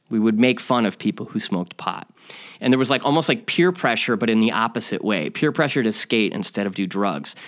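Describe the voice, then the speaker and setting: On a very clean recording with a silent background, a man with an American accent has an unremarkable speaking voice at medium pitch with lively intonation. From US Midwest, Chicago suburbs. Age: 40s. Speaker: podcast host. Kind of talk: personal storytelling monologue.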